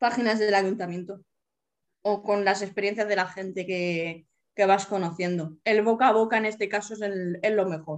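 Speaking at a moderate pace, a woman uses an ordinary speaking voice of medium pitch with fairly even intonation. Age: 30s. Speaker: accessible travel advisor and wheelchair user. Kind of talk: interview.

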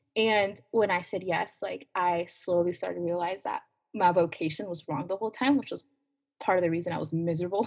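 A woman talks at a moderate pace with a fairly low pitch and ordinary pitch variation. Hers is an unremarkable speaking voice. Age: 20s. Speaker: youth minister. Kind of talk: casual chat.

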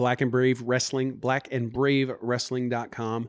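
A man with a US Midwestern accent talks at a fairly slow pace and a medium pitch. The very clean recording has a silent background and a dry, close sound with no echo. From Kansas, US. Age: 30s. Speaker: wrestling coach and retired pro wrestler. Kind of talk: casual interview chat.

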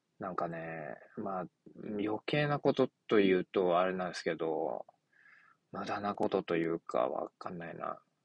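Lively intonation marks a man's very deep, low voice. He keeps a moderate pace, with big swings in loudness. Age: 30s. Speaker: podcaster. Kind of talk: casual monologue. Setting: in a car. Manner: halting.

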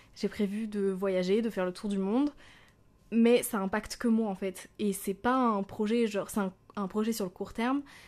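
Over a quiet background, a woman talks at a moderate pace and medium pitch with fairly even intonation. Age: 20s. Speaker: podcaster, business student. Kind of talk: casual solo monologue. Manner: spontaneous, hesitant.

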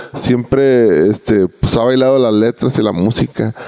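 Medium-pitched male voice with ordinary pitch variation over noticeable background noise. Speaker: reggae singer. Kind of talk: casual chat. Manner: halting.

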